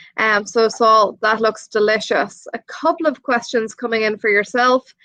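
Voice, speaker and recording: This woman has a fairly high pitch and a bright, sharp tone. She talks at a moderate pace with an Irish accent. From Ireland. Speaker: presenter. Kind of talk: live stream hosting.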